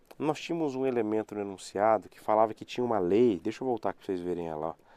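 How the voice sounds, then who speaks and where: A man speaks at a fairly quick pace, recorded with a dry, close sound and no echo. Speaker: law professor. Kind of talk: live online lecture. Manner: repetitive, conversational.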